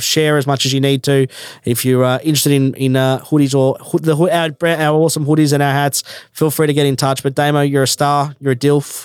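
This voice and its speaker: A man with an Australian accent, fairly high pitch, monotone, flat intonation, very even loudness and a fairly quick pace. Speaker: podcast host. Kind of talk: casual interview.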